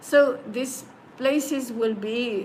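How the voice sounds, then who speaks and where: Here a woman speaks with a high pitch. The room echo is audible, and there is noticeable background noise. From Slovenia. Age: 70s. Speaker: spiritual singing teacher. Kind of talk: interview. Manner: halting.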